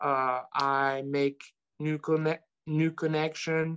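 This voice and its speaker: A man's monotone, flat delivery in a French accent against a quiet background. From France. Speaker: sports card collector. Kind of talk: casual chat. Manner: hesitant, many fillers.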